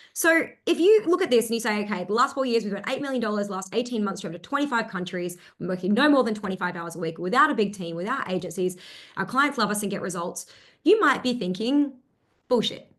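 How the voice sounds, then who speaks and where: She talks very fast with lively intonation. Her pitch is fairly high. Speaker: business coach. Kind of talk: webinar presentation. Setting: live stream with chat.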